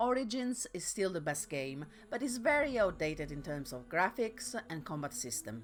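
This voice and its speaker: Over music in the background, a woman with a non-native accent speaks at a moderate pace. Her medium-pitched voice has very wide pitch swings. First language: not English. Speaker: video essayist. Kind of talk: video essay narration.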